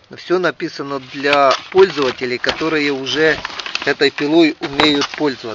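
Speech comes at a very slow pace in a dry sound with no echo, over noticeable background noise. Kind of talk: casual vlog chat. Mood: mildly ironic, critical. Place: garden. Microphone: phone near.

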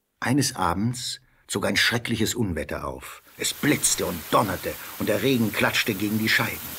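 Talking at a fairly slow pace, a man uses a fairly low, bright and sharp voice with lively intonation.

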